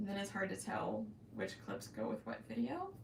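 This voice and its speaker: A woman with an American accent at a moderate pace, with audible room echo and noticeable background noise. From Florida, US South. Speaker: crochet YouTuber. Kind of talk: live stream chat. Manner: hesitant, many ums and pauses; stutters at times.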